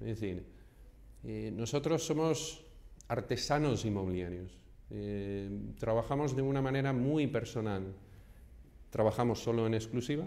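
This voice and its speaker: The voice has a dark, mellow tone and ordinary pitch variation, moving at a fairly slow pace. Long, frequent pauses break it up amid audible room echo. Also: man, medium pitch for a man. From Houston, Texas. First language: English (speaking Spanish). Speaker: real estate agent. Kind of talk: vlog monologue. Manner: hesitant, many fillers.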